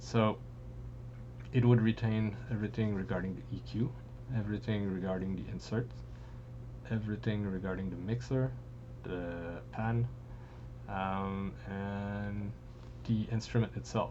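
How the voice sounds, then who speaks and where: A man with a dark, mellow tone speaks at a fairly slow pace and a fairly low pitch, his pitch swinging very widely. Audible room echo surrounds him. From France. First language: French. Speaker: music producer, software tutorial maker. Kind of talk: tutorial. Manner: casual, with frequent hesitations.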